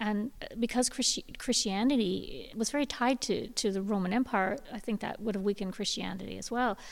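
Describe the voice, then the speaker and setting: At a fairly quick pace with hardly any pauses, a woman speaks at a fairly high pitch with vocal fry and ordinary pitch variation. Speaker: tour guide, former political journalist. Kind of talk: guided tour talk.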